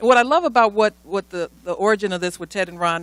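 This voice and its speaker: A woman with an American accent talks at a very fast pace with lively intonation and a medium pitch. The sound is dry and close, with no echo. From Chicago, Illinois. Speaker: radio host, conference emcee. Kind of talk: conference speech introducing speakers.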